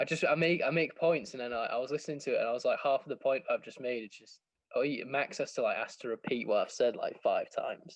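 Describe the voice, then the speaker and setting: A man talks at a very fast pace. He speaks with an English accent. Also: big swings in loudness. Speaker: football podcast co-host. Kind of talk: casual chat. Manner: animated. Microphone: poor mic, cuts out.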